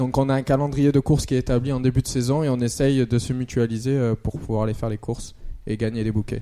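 A man with an ordinary speaking voice talks at a fairly quick pace in a medium pitch with ordinary pitch variation. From Marseille, southern France. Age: 20s. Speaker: cycling club race organizer. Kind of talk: radio interview.

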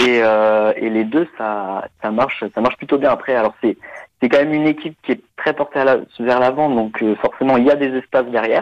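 This man has a plain, everyday voice at medium pitch. He keeps a moderate pace with ordinary pitch variation. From France, Nantes. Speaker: football expert on German football. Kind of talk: casual chat.

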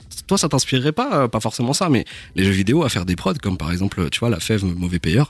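In a very clean recording with a silent background, a man talks very fast at fairly low pitch, his loudness very even while his pitch swings very widely. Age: 20s. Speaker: podcast host. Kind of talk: interview.

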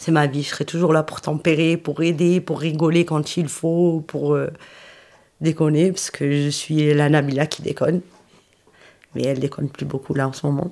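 A woman speaks at a moderate pace in a very deep, low voice with a dark, mellow tone. Her intonation stays flat and monotone, broken by long, frequent pauses. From southeastern France, Roya valley (Alpes-Maritimes). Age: 40s. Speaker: school cleaning agent and trained nurse's aide. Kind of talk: testimony. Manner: halting, with hesitations.

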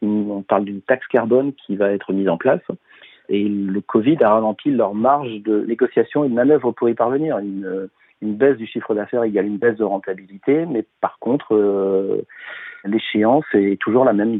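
This is an ordinary speaking voice from a man with a fairly low pitch. He talks at a moderate pace with ordinary pitch variation. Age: 50s. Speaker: business development director. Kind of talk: interview.

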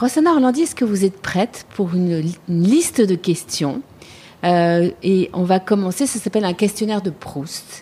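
A woman's somewhat breathy voice carries a dark, mellow tone and lively intonation. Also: medium pitch for a woman, moderate pace. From Paris, France. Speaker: podcast host. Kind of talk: interview.

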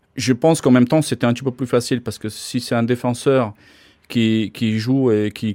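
A man with a Slovak accent speaks at a moderate pace with fairly even intonation. The recording is very clean with a silent background and a dry, close sound with no echo. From Slovakia. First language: Slovak (speaking French). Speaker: ice hockey coach. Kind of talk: interview. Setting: office at ice rink. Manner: halting.

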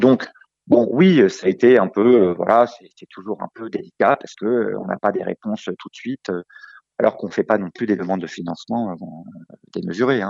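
A man speaks at a moderate pace in a medium pitch, his intonation lively and his loudness swinging widely, all in a dry, close sound with no echo. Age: 40s. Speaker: franchisee, roofing business owner. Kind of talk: interview. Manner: halting.

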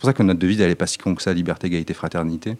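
A man talks with fairly even intonation. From Nice, southern France. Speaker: farmer and activist. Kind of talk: interview conversation. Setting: small hall, private recording. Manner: halting, many repetitions.

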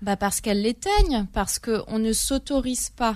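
In a very clean recording with a silent background, an unremarkable speaking voice proceeds at a moderate pace, pitch varying in an ordinary way. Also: woman. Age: 30s. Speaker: journalist and literary critic, first-time author. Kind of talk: radio interview.

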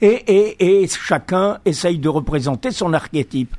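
Here a man speaks with a high pitch. His pace is very slow. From Algeria. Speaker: author, architect-engineer. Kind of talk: radio interview. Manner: halting, with repetitions.

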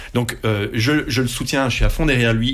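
At a fairly quick pace, a man speaks with a medium pitch. Audible room echo and noticeable background noise surround him. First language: Dutch (speaking French). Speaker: radio group executive. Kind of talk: interview. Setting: studio.

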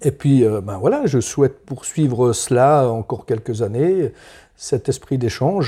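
At a fairly slow pace, a man with medium pitch, ordinary pitch variation and a somewhat breathy, dark, mellow tone speaks on a very clean recording with a silent background. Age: 60s. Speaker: farmer. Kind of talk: interview. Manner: halting.

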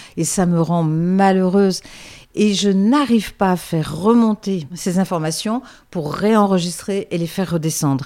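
With a dark, mellow tone, a woman speaks fairly slowly at medium pitch with ordinary pitch variation. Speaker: voice-over artist. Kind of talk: interview. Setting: at her home. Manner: hesitant, repeats words.

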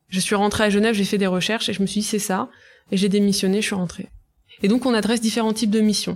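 A woman at a medium pitch and a very fast pace, monotone and flat in intonation with very even loudness, on a very clean recording with a silent background. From Brittany, France (Côtes d'Armor). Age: 30s. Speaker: entrepreneur, start-up founder. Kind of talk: interview.

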